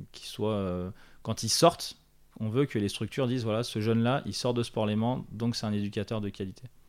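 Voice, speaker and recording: An unremarkable speaking voice from a man at medium pitch, with fairly even intonation and a moderate pace, on a very clean recording with a silent background. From France, Haute-Savoie (Annecy area). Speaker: sports educator and training organisation co-founder. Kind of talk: interview. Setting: on location at the organisation's premises.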